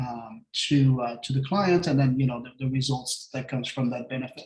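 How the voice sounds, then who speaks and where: A man with a French accent speaks in a fairly high, somewhat breathy voice with fairly even intonation. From France. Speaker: real estate agent. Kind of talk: casual interview. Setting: live stream video call.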